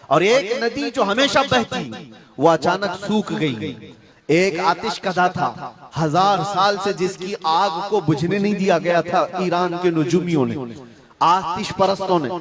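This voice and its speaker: A man talks with a high pitch. Noticeable background noise runs underneath. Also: ordinary pitch variation. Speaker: Islamic scholar giving a sermon. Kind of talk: religious sermon (bayan).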